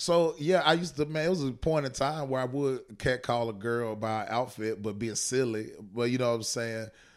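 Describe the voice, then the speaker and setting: Moving at a moderate pace with hardly any pauses, a man talks in a plain, everyday voice. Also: medium pitch for a man, ordinary pitch variation. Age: 30s. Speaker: stand-up comedian. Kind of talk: casual chat.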